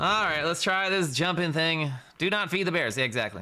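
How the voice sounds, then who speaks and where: In an American accent, a man with a fairly high, bright and sharp voice talks fairly quickly in an animated tone, with vocal fry. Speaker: video game streamer. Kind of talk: live stream commentary. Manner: casual, animated.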